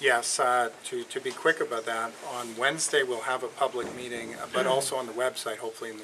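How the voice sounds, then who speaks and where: Noticeable background noise sits under a man speaking very fast. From western Canada. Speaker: company executive. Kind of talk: public Q&A. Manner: halting, many fillers.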